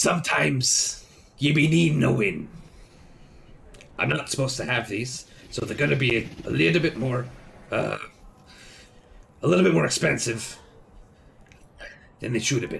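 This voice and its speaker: Using a put-on character voice at medium pitch, a man speaks at a moderate pace with long, frequent pauses. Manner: excited.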